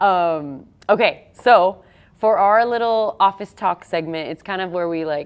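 This is a woman with an ordinary speaking voice. She talks at a moderate pace. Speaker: podcast host. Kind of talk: casual interview chat.

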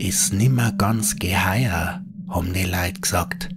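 A dramatic tone in a Bavarian accent, with music in the background. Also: man. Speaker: horror storyteller. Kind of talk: scripted ghost story narration in dialect. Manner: hushed, slow, eerie storytelling; dramatic, building suspense.

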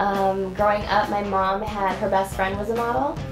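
With clear music in the background, a woman with an American accent speaks at a moderate pace. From Ohio, USA. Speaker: model. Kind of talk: interview answer. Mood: cheerful, warm. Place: studio.

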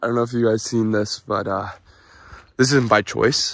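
At a moderate pace, a man talks with a fairly bright tone, a medium pitch and ordinary pitch variation.

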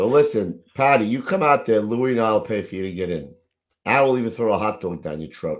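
Against a quiet background, a man speaks at a fairly quick pace in an animated tone. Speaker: podcast host. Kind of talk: casual chat. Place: home room. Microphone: video call.

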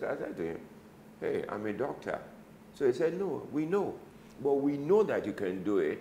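A man talking at a fairly quick pace, with light background noise and audible room echo. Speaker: interview guest. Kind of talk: interview answer. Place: office. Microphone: lapel.

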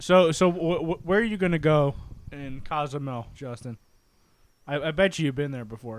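With long, frequent pauses and big swings in loudness, a man speaks at a moderate pace and a fairly high pitch, with ordinary pitch variation, in a dry sound with no echo. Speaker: podcast co-host. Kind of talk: casual chat. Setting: live stream. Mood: relaxed, joking. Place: home room. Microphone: handheld.

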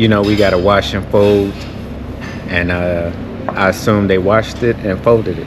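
There is noticeable background noise in this clip. The man talks at a moderate speed. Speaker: travel vlogger. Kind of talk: casual vlog chat. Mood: relaxed, amused. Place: station. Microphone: phone near.

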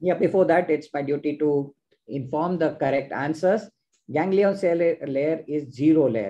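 The voice has a dark, mellow tone and a moderate pace. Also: man. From India. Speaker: ophthalmologist and quiz host; quiz host. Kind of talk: live online quiz hosting. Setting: video call. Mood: cheerful, smiling. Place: home room. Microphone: video call.

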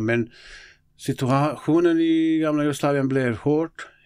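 This is a man talking. He speaks with a Bosnian accent. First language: Bosnian (speaking Swedish). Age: 50s. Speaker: local politician and football coach. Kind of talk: interview conversation. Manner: halting.

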